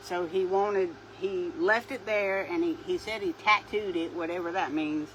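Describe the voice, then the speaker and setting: A woman speaks with a Southern US accent at a medium pitch. Her intonation is lively and her pace moderate. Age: 60s. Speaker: craft video creator. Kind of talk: casual chat.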